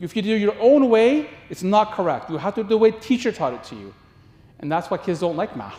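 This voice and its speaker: Intonation is lively and the pace fairly quick. Loudness swings widely. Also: man, high pitch for a man. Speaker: parenting workshop presenter, teacher. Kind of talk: workshop lecture. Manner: fast.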